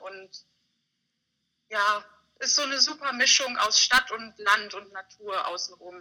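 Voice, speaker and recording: Speaking in a normal speaking voice, a woman talks fairly slowly at a fairly high pitch. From Bavaria, mountains. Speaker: communications graduate. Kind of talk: interview.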